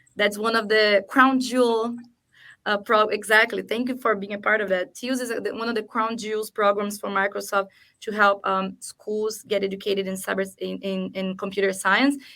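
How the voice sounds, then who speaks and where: With a non-native accent, a woman talks at a moderate pace and medium pitch in a bright, sharp tone with flat, monotone intonation. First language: not English. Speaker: cybersecurity awareness program lead. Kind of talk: panel discussion.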